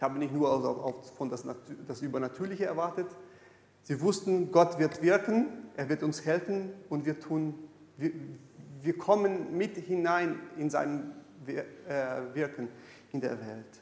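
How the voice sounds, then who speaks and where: Speaking at a very slow pace, a man leaves long, frequent pauses. His pitch is fairly high with ordinary variation, and room echo is audible. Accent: Brazilian. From Brazil. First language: Portuguese (speaking German). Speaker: pastor. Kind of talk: sermon. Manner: halting.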